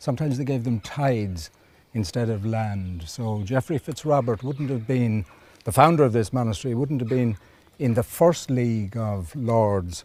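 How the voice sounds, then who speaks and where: In a Kilkenny accent, the voice moves at a moderate pace with a dark, mellow tone and ordinary pitch variation. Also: man, medium pitch for a man. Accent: Irish, Kilkenny. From Ireland, County Kilkenny. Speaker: archaeologist. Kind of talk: interview.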